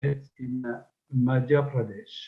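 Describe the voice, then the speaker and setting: At a very slow pace, the voice comes across as somewhat breathy. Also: man. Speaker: researcher of megalithic tradition. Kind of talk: lecture. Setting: webinar. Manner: formal.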